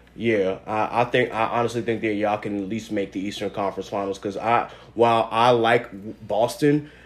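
Using a normal speaking voice of medium pitch, a man talks at a fairly quick pace with fairly even intonation. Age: 20s. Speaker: podcast host. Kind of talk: casual chat.

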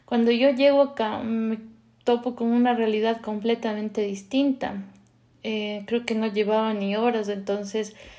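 A woman speaks at a fairly slow pace in a fairly high voice with a dark, mellow tone. Her intonation is monotone and flat. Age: 30s. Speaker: podcast host sharing personal story. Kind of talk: personal testimony monologue.

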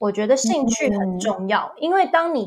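On a very clean recording with a silent background, a woman speaks at a moderate pace and a fairly high pitch. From US (ages 2 to 11), then Taiwan. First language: English (speaking Chinese). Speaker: travel agency owner and former English teacher. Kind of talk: casual interview chat.

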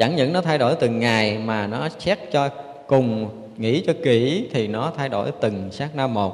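Using a plain, everyday voice, a man talks at a moderate pace and medium pitch with lively intonation. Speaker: Buddhist monk, abbot. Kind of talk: dharma talk. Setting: temple. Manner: frequent filler pauses.

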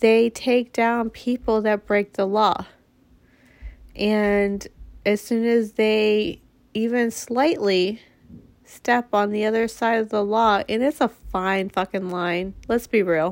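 The recording is very clean, with a silent background. A woman with a fairly high pitch speaks at a very slow pace with fairly even intonation. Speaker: podcast host. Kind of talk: casual monologue. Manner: chatty.

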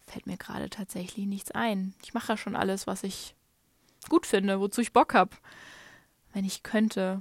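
A somewhat breathy woman speaks at a moderate pace with fairly even intonation, long and frequent pauses, and big swings in loudness, in a dry, close recording with no echo and a silent background that is very clean. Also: medium pitch for a woman. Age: 30s. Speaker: podcaster, digital nomad. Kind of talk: casual monologue. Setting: hotel room under a duvet at night.

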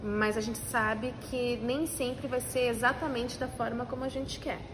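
Audible room echo surrounds a woman whose fairly high voice keeps fairly even intonation. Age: 40s. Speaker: food entrepreneur. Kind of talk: interview.

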